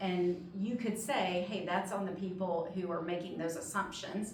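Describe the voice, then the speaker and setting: A woman with an American accent speaks at a moderate pace in a fairly low pitch and fairly even intonation, with noticeable background noise and audible room echo. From northern Mississippi. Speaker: higher education administrator. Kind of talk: guest talk to students.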